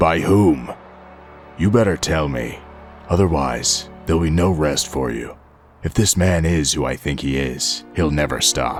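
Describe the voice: Over clear music in the background, a man uses a put-on character voice at a very deep, low pitch. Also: moderate pace.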